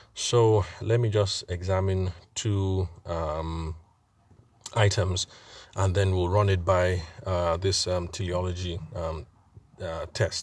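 A very slow, somewhat breathy male voice, very deep and low, with fairly even intonation, long and frequent pauses, and a very clean recording against a silent background. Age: 40s. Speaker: podcast host and wedding photographer. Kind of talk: solo monologue podcast. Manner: halting, many fillers.

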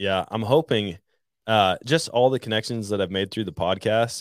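This man has an ordinary speaking voice with an American accent. His pitch sits fairly low. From Wisconsin, Trempealeau County. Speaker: hunting podcaster. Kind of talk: casual chat.

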